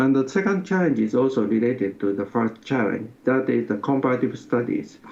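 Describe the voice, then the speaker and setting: Noticeable background noise runs under a man's voice. His intonation is lively and his loudness stays very even. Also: medium pitch for a man. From Japan. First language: Japanese. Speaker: sociology professor. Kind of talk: interview. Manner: halting.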